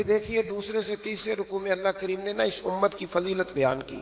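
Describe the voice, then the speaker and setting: A man with a high pitch speaks with lively intonation amid noticeable background noise. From Pakistan. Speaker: Islamic scholar and preacher. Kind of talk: religious sermon.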